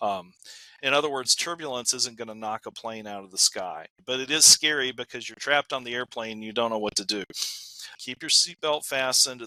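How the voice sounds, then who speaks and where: A man's bright, sharp voice shows big swings in loudness, recorded dry and close with no echo. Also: medium pitch for a man, ordinary pitch variation, fairly quick pace, very clean recording, silent background. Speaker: meteorologist or aviation expert interviewee. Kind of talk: interview answer.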